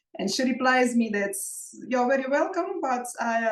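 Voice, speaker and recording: A woman with a Russian accent and ordinary pitch variation. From Russia (Moscow). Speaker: belly dance artist and teacher. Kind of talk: interview.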